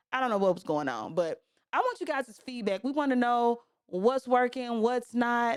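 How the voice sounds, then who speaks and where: In a Southern US accent, the voice carries an animated tone on a very clean recording with a silent background. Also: woman. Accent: Southern, country. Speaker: podcast host. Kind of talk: casual chat.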